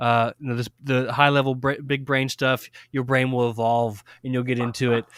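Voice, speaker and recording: Monotone, flat speech at a moderate pace, dry and close with no echo, on a very clean recording with a silent background. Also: man, medium pitch for a man. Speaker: podcast co-host, card game player. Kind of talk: casual chat. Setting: podcast recording. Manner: casual, hesitant with many fillers.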